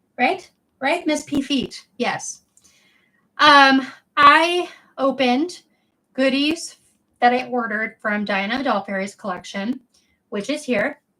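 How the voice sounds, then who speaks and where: A woman's raised, projected voice, high in pitch and bright and sharp in tone, with lively intonation, a very slow pace and long, frequent pauses. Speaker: doll collector streamer. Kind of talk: casual livestream chat. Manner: animated.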